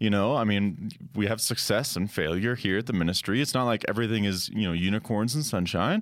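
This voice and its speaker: In a normal speaking voice, a man talks at a fairly quick pace and fairly low pitch with ordinary variation and very even loudness, in a very clean recording with a silent background. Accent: American. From Colorado. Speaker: ministry creative director. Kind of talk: casual chat.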